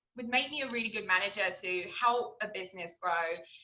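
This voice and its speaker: Speaking at a very fast pace, a woman rushes through her words. She has a British accent. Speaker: restaurant server. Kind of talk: interview. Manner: halting.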